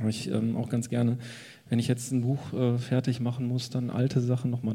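Somewhat breathy, a man speaks in a dark, mellow tone. His intonation stays monotone and flat. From Ruhr area, Germany. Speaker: cartoonist. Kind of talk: casual chat. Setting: stage with audience.

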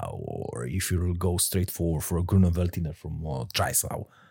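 On a very clean recording with a silent background, a man with a Romanian accent speaks in a dark, mellow tone. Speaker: sommelier. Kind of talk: interview. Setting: studio. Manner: halting.

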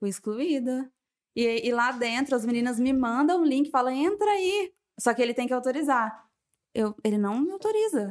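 A woman speaks at a moderate pace with a high pitch. Her pitch swings very widely while her loudness stays very even. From São José do Rio Preto, São Paulo state. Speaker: business co-founder. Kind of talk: casual interview chat.

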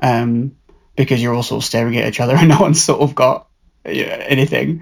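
Very fast and with vocal fry, a man speaks at a medium pitch with ordinary pitch variation on a very clean recording with a silent background. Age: 30s. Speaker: theatre performer. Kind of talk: casual chat.

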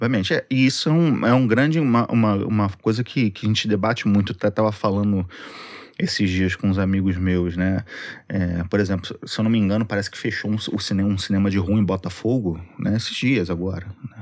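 With a normal speaking voice, a man talks at a fairly quick pace and fairly low pitch, using ordinary pitch variation. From Rio de Janeiro, Zona Norte (Penha). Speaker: social media content creator. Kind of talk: casual chat.

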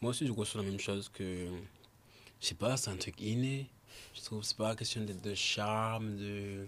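A man's fairly low pitch at a fairly slow pace. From Réunion. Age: 20s. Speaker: photographer and musician. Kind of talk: casual chat. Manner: halting.

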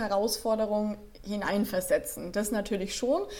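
A woman at a fairly high pitch with fairly even intonation over noticeable background noise. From Franconia, Germany (Nuremberg). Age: 20s. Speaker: life and stress coach. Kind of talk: podcast interview.

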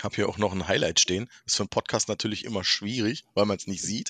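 A man's fairly low voice at a very fast pace, fairly even in intonation, dry and close with no echo over a quiet background. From Berlin. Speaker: podcast guest. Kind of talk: casual chat.

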